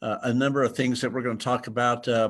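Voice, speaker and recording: A man talks with an American accent in a plain, everyday voice. His pitch is medium and his intonation fairly even. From Texas. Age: 60s. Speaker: drone photographer, presenter. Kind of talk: webinar presentation. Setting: video webinar from a museum.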